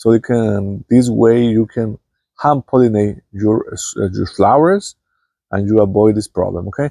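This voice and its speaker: Speaking with a non-native accent, a man has a dark, mellow voice at a medium pitch, with ordinary pitch variation and a moderate pace. The sound is dry and close with no echo, over a quiet background. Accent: non-native English, self-noted. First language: Spanish. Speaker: gardening youtuber. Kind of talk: tutorial. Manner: halting, many fillers.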